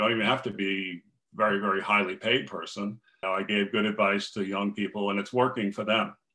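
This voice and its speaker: At a moderate pace, a man with an American accent talks in a fairly low pitch. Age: 60s. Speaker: finance coach. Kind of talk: interview. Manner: plain-spoken.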